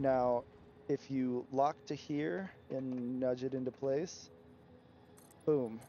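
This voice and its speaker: A dark, mellow tone from a man at medium pitch. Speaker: gaming streamer. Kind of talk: live gameplay commentary and tutorial. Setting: livestream. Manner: occasional stutter from hearing own playback; casual, hesitant with many fillers.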